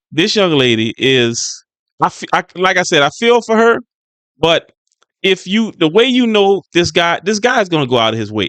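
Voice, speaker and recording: A man speaks at a fairly slow pace with very wide pitch swings. The sound is dry and close, with no echo. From US South, Louisiana (New Orleans West Bank). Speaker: YouTube commentator. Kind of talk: reaction commentary. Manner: casual, repetitive with false starts.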